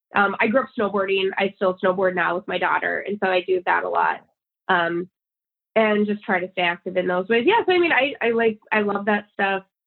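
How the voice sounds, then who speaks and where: A woman's plain, everyday voice with an American accent, medium pitch, fairly even intonation and a fairly quick pace. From Minnesota, St. Cloud. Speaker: sports radio host. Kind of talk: casual chat.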